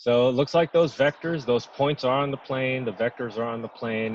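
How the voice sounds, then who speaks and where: A man with an unremarkable speaking voice talks at a fairly quick pace with ordinary pitch variation, in a dry, close sound with no echo. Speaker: math instructor. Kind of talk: lecture.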